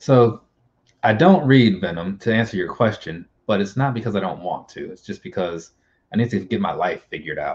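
A somewhat breathy man with an American accent speaks at a moderate pace, with lively intonation and big swings in loudness. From US Midwest. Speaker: YouTuber. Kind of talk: casual chat. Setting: video call. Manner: rambling. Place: home room.

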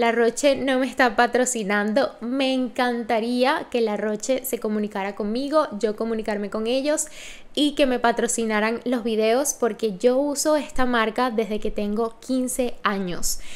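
Her high-pitched voice moves at a fairly slow pace with hardly any pauses, as this woman keeps a fairly even intonation. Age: 30s. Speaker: lifestyle vlogger. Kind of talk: product review vlog. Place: home room. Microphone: studio mic.

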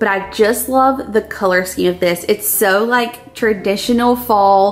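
Fairly slow and fairly even in intonation, a woman speaks with very even loudness. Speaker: lifestyle vlogger. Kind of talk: casual vlog chat. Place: kitchen.

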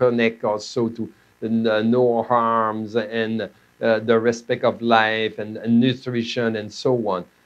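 A man speaks with a Quebec French accent at a fairly slow pace. His intonation is monotone and flat. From Quebec, Canada. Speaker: medical doctor and professor; presenter. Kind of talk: lecture. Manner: halting. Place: studio.

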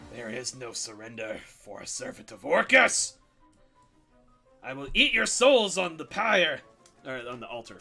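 A man uses a put-on character voice at a fairly high pitch, moving at a moderate pace with long, frequent pauses while faint music plays in the background. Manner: menacing.

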